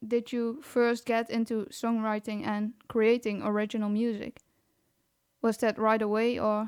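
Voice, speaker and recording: In a very clean recording with a silent background, a woman with a non-native accent speaks at a fairly high pitch in a monotone, flat intonation. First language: not English. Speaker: podcast host. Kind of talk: interview.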